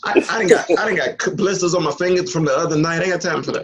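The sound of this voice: Very fast and fairly high-pitched, a man talks in a fairly bright tone with a slightly husky edge and ordinary pitch variation.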